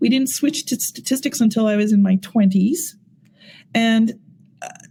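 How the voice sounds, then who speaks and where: Her voice is somewhat breathy and fairly high in pitch, with very even loudness. The woman keeps to a moderate pace. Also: lively intonation. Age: 60s. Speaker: AI technology executive. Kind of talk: podcast interview.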